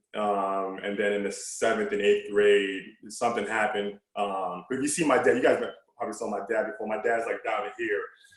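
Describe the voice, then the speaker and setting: Moderate-paced speech in an American accent, with audible room echo. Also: man. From New York City (Brooklyn, Queens). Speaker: former college basketball player. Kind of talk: casual chat.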